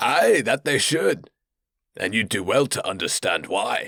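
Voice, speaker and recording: A man puts on a character voice that sounds raspy. He speaks at a fairly slow pace. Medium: read story. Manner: coarse, mocking, laughing.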